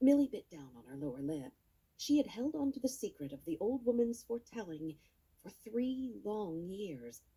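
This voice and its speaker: Her fairly high voice swings very widely in pitch, with a dark, mellow tone and a somewhat breathy quality. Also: moderate pace, big swings in loudness. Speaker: audiobook narrator. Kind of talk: audiobook narration.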